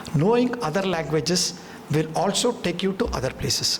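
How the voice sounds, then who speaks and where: A man talks at a moderate pace over noticeable background noise, with audible echo from the room. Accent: Tamil. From India, Tamil Nadu. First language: Tamil. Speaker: business executive, seminar speaker. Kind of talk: lecture. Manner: halting.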